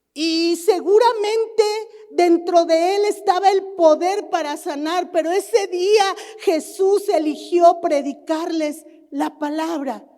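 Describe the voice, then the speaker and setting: Amid noticeable background noise, a woman speaks very slowly at an extremely high pitch. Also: ordinary pitch variation. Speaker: pastor. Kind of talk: sermon.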